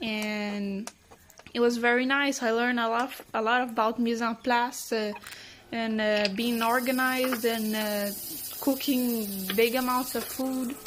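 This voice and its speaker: Against noticeable background noise, a woman with a fairly high pitch speaks fairly slowly in a monotone, flat delivery. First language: Portuguese and Spanish. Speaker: cook. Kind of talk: self-introduction.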